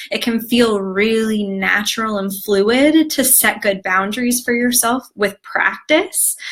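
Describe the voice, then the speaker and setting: With hardly any pauses, a woman talks at a fairly slow pace in an ordinary speaking voice, fairly high in pitch, with ordinary pitch variation. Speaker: wellness coach teaching an online class. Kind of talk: live-streamed class. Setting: live video stream.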